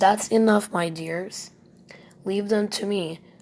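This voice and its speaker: A raspy, put-on character voice, female-sounding, at medium pitch and a fairly slow pace. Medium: read story. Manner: cold, imperious, condescending.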